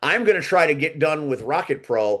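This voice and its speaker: The man's intonation is lively. He talks at a moderate pace. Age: 50s. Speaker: podcast host. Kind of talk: casual chat. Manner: halting.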